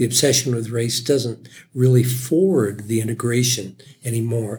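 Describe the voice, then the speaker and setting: The voice belongs to a man and sounds somewhat breathy. He keeps a moderate pace. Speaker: war veteran, host's father. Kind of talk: casual chat.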